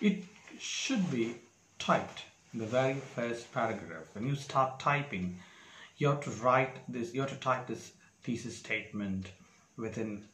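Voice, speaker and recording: Speech at a fairly slow pace with ordinary pitch variation and long, frequent pauses, over light background noise and audible room echo. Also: man. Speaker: exam preparation tutor. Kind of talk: tutorial. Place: home room. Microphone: lapel.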